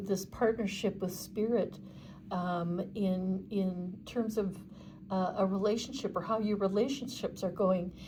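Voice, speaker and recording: A woman speaks at a medium pitch with a dark, mellow, somewhat breathy tone. Her intonation is fairly even, and audible room echo surrounds her. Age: 60s. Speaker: tarot reader. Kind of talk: tarot reading monologue. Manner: halting, many fillers.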